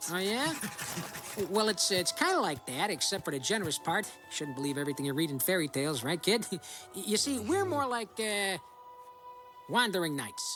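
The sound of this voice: A man's cartoonish character voice, high-pitched with big pitch swings and a bright, sharp tone, at a moderate pace over faint background music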